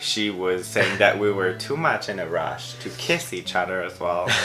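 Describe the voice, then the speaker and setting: Music plays in the background. A man speaks with a non-native accent. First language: not English. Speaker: vlogger. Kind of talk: casual chat.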